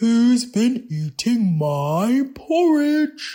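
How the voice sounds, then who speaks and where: A female-sounding put-on character voice sits at a fairly high pitch and makes very wide pitch swings. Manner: cross, grumpy.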